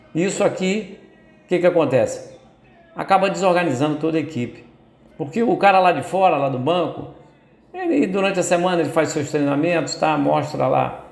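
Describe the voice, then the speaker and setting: At a moderate pace, a man speaks in a high pitch with long, frequent pauses, and audible room echo surrounds him. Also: ordinary pitch variation. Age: 70s. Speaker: football commentator. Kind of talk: opinion commentary monologue. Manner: hesitant, many repetitions and fillers.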